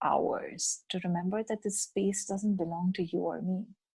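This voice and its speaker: A woman speaks at a fairly slow pace in a medium-pitched, somewhat breathy voice. The sound is dry and close, with no echo. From India. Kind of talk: podcast interview.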